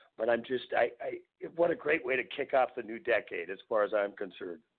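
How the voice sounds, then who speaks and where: Here a man talks with a Minnesota accent. He keeps a moderate pace. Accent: Upper Midwest American (Minnesota). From northeastern Minnesota (Virginia, MN). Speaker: folk musician. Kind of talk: casual interview chat.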